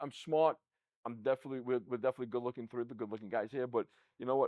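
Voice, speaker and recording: A man's very fast speech at a medium pitch, with a New York accent. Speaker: podcast host, accounting firm CEO. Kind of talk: casual interview chat. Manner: repeats words, stammering starts.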